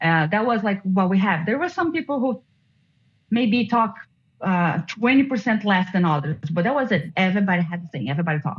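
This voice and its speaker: In a non-native accent, a woman talks at a fairly quick pace in a somewhat breathy, medium-pitched voice. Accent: foreign accent, self-conscious of it. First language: not English. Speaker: former juror. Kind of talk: interview. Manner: halting.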